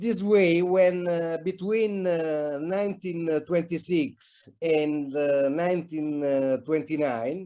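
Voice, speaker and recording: Very slowly, a man speaks in a high voice with a dark, mellow tone and ordinary pitch variation. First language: not English. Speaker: conference speaker on architecture. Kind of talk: conference presentation. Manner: halting.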